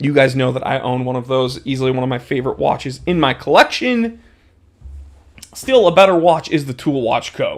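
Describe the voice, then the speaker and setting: Speaking in an animated tone, a man with an American accent uses a medium pitch and ordinary pitch variation. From New England, US (Amherst, New Hampshire). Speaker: livestream host, watch enthusiast. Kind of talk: casual livestream chat. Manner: casual, animated.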